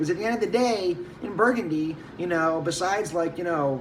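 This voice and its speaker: A man talks in an animated tone with lively intonation at a fairly quick pace. The recording carries audible room echo and noticeable background noise. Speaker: wine merchant. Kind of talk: casual monologue.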